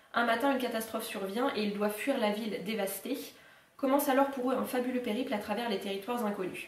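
Very fast delivery from a woman, audible room echo around her words. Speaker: book YouTuber. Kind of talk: reading a book blurb aloud. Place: home room.

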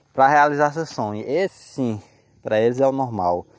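Recorded dry with no echo against a quiet background, a man speaks at a moderate pace with ordinary pitch variation. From Brazil. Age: 20s. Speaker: motorcycle vlogger; motorbike vlogger. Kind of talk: casual vlog monologue. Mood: motivational, defiant. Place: open country. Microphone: phone near.

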